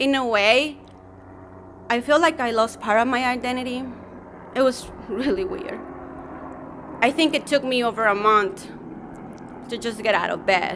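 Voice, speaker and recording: Over noticeable background noise, a woman speaks at a high pitch and moderate pace with ordinary pitch variation and long, frequent pauses. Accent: non-native. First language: Spanish. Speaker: journalist. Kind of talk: personal testimony speech.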